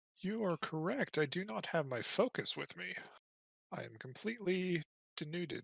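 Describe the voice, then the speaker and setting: A man's put-on character voice, high in pitch with very wide pitch swings, at a moderate pace, in a dry, close sound with no echo. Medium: actual play. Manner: measured, slightly formal.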